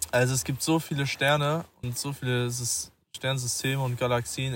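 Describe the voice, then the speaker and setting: A man talks at a moderate pace, his pitch medium and his intonation fairly even. He has a plain, everyday voice. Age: 20s. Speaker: musician and trainee lab technician. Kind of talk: casual chat. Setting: outdoors at night under the stars.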